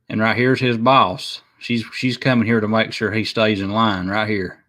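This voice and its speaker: A man speaks in monotone, flat intonation at a medium pitch and a moderate pace. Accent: strong Appalachian. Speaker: YouTube livestream host. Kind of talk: casual chat. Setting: live stream. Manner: halting, many fillers.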